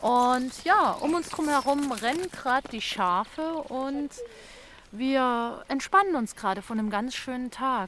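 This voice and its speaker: Her intonation is lively and her pitch is high. The woman talks at a fairly slow pace. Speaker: podcast host. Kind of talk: podcast narration. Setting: outdoors.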